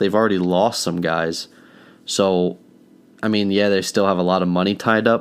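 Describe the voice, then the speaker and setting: In a very clean recording with a silent background, a man with a very deep, low pitch keeps his loudness very even and his intonation fairly even while pausing long and often. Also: moderate pace. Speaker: sports podcast host. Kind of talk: casual chat. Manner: quiet.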